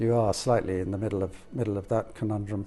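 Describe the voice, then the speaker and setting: Music plays in the background as a man with an Irish accent speaks fairly quickly at a medium pitch with fairly even intonation. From Ireland. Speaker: auctioneer. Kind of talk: interview. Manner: hesitant.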